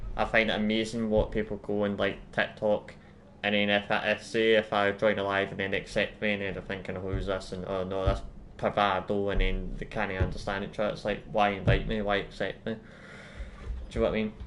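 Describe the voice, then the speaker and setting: A man speaks with monotone, flat intonation at a fairly low pitch. His pace is fairly quick. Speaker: gaming live streamer. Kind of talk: live gameplay commentary. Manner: fast; rambling, casual.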